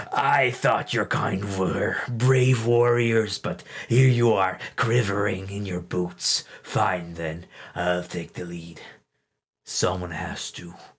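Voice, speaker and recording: A man growls through a put-on character voice, fairly low-pitched and very slow. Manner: taunting, scornful.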